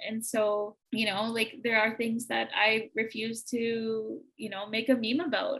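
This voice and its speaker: Using an ordinary speaking voice, a woman speaks at a fairly slow pace with a fairly high pitch, fairly even intonation and hardly any pauses. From Manitoba, Canada. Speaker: small business founder. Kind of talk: casual interview chat.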